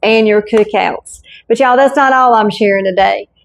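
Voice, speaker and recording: Against a quiet background, a woman with a Southern US accent speaks at a fairly high pitch with ordinary pitch variation. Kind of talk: casual cooking talk to camera. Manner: folksy, warm.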